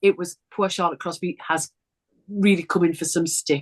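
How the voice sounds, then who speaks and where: A woman speaks with a Geordie accent at a moderate pace. The sound is dry and close, with no echo. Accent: broad Geordie. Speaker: sewing presenter. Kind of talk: casual chat.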